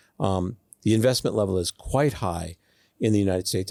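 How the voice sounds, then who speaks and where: Speaking very fast in a Boston accent, a man uses a fairly low pitch with ordinary pitch variation. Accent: American (Boston area). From US Northeast (Boston). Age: 60s. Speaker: student mentor. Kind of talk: interview.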